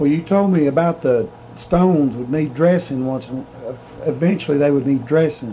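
A man's moderately paced speech amid noticeable background noise. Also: fairly high pitch for a man, ordinary pitch variation. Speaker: interviewer.

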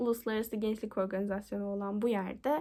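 In a very clean recording with a silent background, a woman with a fairly high pitch and a dark, mellow tone speaks fairly quickly with fairly even intonation. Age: 20s. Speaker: university student. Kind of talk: application video monologue.

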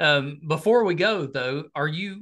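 Over a quiet background, a man with a high pitch sounds enthusiastic, his bright, sharp tone rising and falling with lively intonation. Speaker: podcast host. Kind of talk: interview. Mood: friendly, upbeat. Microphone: video call.

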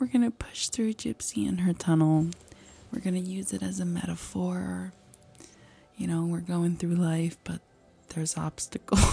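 With music playing behind her, a woman talks in a playful tone at a moderate pace, leaving long, frequent pauses. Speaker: ASMR streamer. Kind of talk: casual talk to camera. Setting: live stream at home. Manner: playful, chaotic, joking. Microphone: studio mic.

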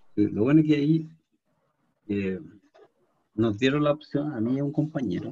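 Against a quiet background, a man speaks with lively intonation in a dark, mellow tone that is somewhat breathy. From Chile. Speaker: programming teacher. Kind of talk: lecture; online class lecture and chat. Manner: halting. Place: home room. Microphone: webcam.

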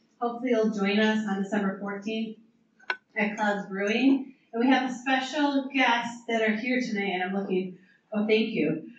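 Over light background noise and audible room echo, a woman talks at a moderate pace. Her pitch variation is ordinary. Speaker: association chapter leader. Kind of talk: event introduction. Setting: stage with audience. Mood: friendly, upbeat. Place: hall. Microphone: camera far.

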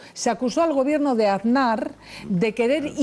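A woman's high voice with a dark, mellow tone, ordinary pitch variation and a fairly quick pace. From Spain. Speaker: TV talk show host. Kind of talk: TV news panel discussion. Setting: TV studio. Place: studio. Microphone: headset.

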